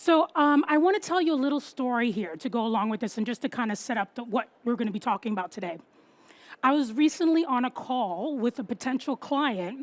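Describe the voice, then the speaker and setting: Lively intonation in a New York accent carries this fairly quick delivery, recorded with a dry, close sound and no echo. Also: woman, high pitch for a woman. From New York City. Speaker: copywriter and marketing strategist. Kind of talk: talk to an audience. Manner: fast; animated.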